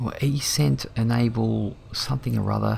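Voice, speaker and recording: A man with an Australian accent in a relaxed tone, against noticeable background noise. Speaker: flight sim streamer. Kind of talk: casual live-stream commentary. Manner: relaxed, hesitant with fillers.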